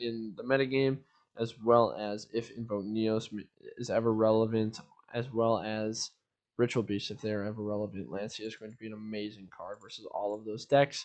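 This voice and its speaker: A man speaks in a normal speaking voice at medium pitch and a moderate pace. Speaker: gaming content creator. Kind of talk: tutorial. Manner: casual, filler-heavy.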